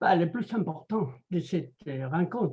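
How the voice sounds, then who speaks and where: A man with a Spanish accent has a high pitch and a dark, mellow tone. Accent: Spanish, out of practice in French. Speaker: anthropologist and writer. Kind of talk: interview. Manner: halting.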